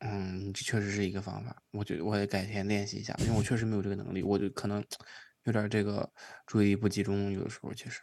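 Very fast and in a monotone, flat intonation, a man speaks at a fairly low pitch. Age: 20s. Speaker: podcast host. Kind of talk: casual chat.

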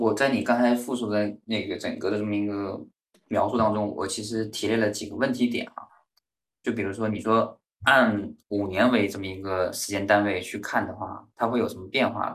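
A man's fairly low voice, a normal speaking voice, at a moderate pace. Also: fairly even intonation. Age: 30s. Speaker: podcast host, business consultant. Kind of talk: casual book discussion. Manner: measured, structured.

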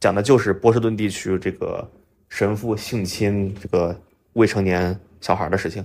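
The speaker is a man with a normal speaking voice. His pitch sits fairly low. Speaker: drone industry professional. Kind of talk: casual conversation.

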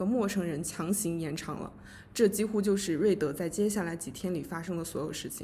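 A woman at medium pitch talks fairly quickly, somewhat breathy, with ordinary pitch variation and audible room echo. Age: 20s. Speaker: podcast co-host, literature graduate student. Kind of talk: casual book discussion.

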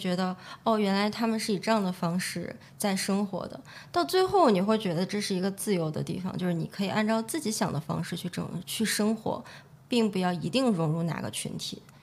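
A woman's somewhat breathy voice at medium pitch, fairly quick in pace, with ordinary pitch variation. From China, Shaanxi (Xi'an). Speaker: entrepreneur, nail salon owner. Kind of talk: interview conversation.

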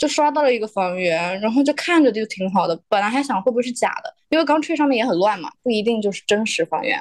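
Very fast speech with hardly any pauses and very wide pitch swings comes through in a dry, close sound with no echo. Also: woman, fairly high pitch for a woman. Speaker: illustrator and designer. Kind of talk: casual chat.

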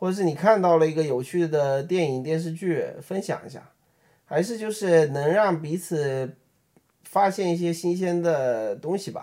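Speaking in a Beijing accent, a man has a dark, mellow tone, a fairly high pitch and ordinary pitch variation. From Beijing, China. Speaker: app designer and podcast co-host. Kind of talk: casual chat.

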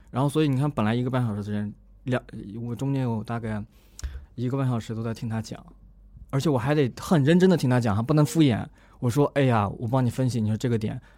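A man's dark, mellow voice at a very fast pace with ordinary pitch variation and long, frequent pauses. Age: 20s. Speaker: career blogger and startup founder. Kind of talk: podcast interview.

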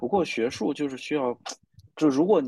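A man talks at a moderate pace with a dark, mellow tone. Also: quiet background. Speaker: blind date participant. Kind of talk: casual chat.

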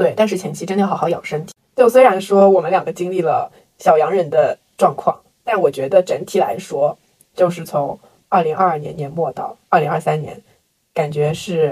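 At a moderate pace, a woman speaks in a fairly low, dark, mellow, somewhat breathy voice with ordinary pitch variation and big swings in loudness. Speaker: podcast co-host. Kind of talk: casual chat.

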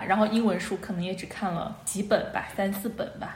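Fairly high in pitch with fairly even intonation, a woman's voice comes through with audible room echo and noticeable background noise. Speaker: podcast co-host. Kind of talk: casual chat. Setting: video call.

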